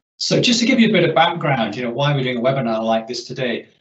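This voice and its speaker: The voice belongs to a man. His words carry an audible room echo. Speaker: webinar host. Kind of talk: presentation introduction. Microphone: video call.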